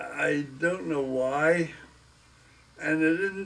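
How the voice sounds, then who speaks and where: Fairly even intonation marks this man's speech. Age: 80s+. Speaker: grandfather. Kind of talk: interview answer. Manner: casual, rambling. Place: home room. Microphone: camera far.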